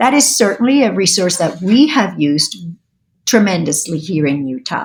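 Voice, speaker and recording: Her voice is somewhat breathy, and this woman's pitch makes very wide swings. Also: medium pitch for a woman, moderate pace. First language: Spanish. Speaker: state language program director. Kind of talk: interview.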